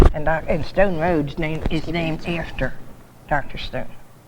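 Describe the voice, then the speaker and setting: With an American accent, a woman speaks at a moderate pace and a fairly low pitch, with audible room echo around her. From New Jersey (Laurel Springs, Camden County). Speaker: longtime local resident. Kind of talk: oral history interview. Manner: halting.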